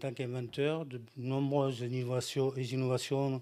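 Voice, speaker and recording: Moving at a moderate pace, a man speaks in a dark, mellow tone with monotone, flat intonation. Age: old. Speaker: inventor. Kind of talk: conference presentation.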